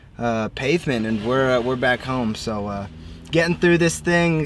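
A man talks at a moderate pace, with light background noise. The sound is dry, with no echo. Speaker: off-road vlogger. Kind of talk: casual vlog chat. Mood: relaxed, upbeat. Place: car. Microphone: camera far.

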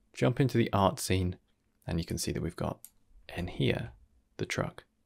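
Over a quiet background, a man with a very deep, low pitch and vocal fry speaks at a moderate pace, his pitch swinging very widely. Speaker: tutorial creator. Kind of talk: tutorial.

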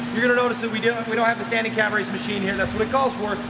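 A man speaks over loud background noise. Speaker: personal trainer. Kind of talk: tutorial coaching. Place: gym.

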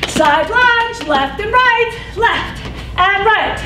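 Faint music plays in the background as a woman uses a raised, projected voice. She speaks at a very slow pace. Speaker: fitness instructor. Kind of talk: exercise class cueing. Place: gym.

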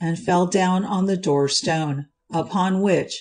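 Against a quiet background, the speaker uses a natural reading voice with ordinary pitch variation.

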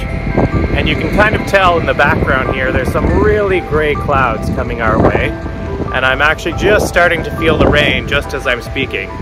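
A man at a moderate pace, dry sound with no echo, clear music in the background. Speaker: RV travel vlogger. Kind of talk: casual vlog chat. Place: open country. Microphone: phone near.

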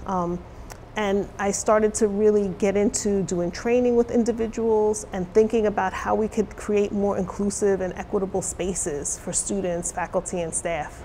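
A woman with an American accent speaks at a moderate pace and medium pitch. Her intonation stays fairly even over light background noise. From New York City. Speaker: college diversity officer; interviewee, college diversity educator. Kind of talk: interview. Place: studio.

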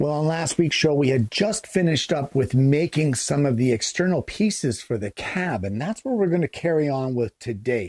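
The background is quiet. A man speaks at a moderate pace in a somewhat breathy voice. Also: dry sound with no echo. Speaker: woodworking channel host. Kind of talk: tutorial. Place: workshop.

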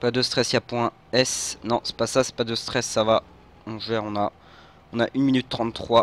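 In a monotone, flat delivery, a man with a medium pitch speaks at a fairly slow pace. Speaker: gaming youtuber. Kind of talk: gameplay commentary. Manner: halting.

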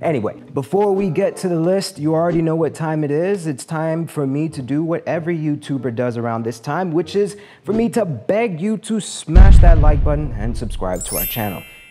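Music sounds in the background as a man talks with lively intonation and hardly any pauses. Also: moderate pace. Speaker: channel host. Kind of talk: comedic explainer commentary. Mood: humorous, playful. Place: home room. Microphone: lapel.

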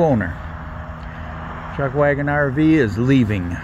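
The sound is dry with no echo. Noticeable background noise runs underneath. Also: man. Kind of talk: casual vlog chat. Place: garden. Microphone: phone near.

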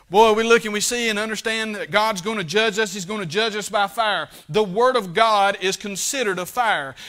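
Over a quiet background, a man projects a raised voice with a bright, sharp tone and high pitch, talking at a fairly quick pace with ordinary pitch variation and hardly any pauses. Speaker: preacher. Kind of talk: sermon. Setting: church. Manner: plainspoken, fervent Baptist pulpit delivery. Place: church.

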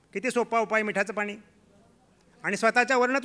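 Raised and projected, a man's high-pitched voice carries fairly even intonation. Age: 50s. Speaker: health awareness speaker; speaker. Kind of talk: health talk. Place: hall. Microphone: podium.

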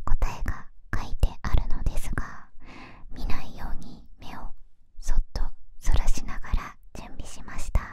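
Whispering and soft-spoken, a woman talks at a fairly slow pace. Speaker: ASMR creator. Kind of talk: soft-spoken ASMR unboxing chat. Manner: soft close whisper. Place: home room. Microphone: studio mic.

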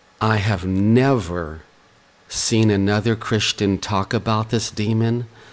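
Quietly and at a fairly slow pace, a man speaks with a fairly low pitch and monotone, flat intonation. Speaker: online preacher. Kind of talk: religious video message. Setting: at home. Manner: quiet, hushed.

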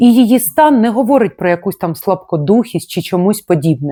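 Dark, mellow tone with very wide pitch swings in a very clean recording with a silent background. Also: woman. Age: 40s. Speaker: life coach. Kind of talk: vlog monologue. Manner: emotional.

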